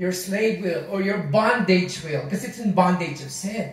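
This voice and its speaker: There is audible room echo as a man with a Filipino accent speaks at a fairly slow pace. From Philippines. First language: Tagalog. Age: 60s. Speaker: pastor. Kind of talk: sermon. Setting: church. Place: home room. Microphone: camera far.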